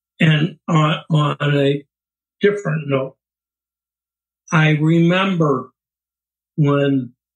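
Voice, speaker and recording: Fairly high in pitch and somewhat breathy, a man talks at a very slow pace with fairly even intonation. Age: 80s+. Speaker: interviewee, long-married husband. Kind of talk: interview. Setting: video call.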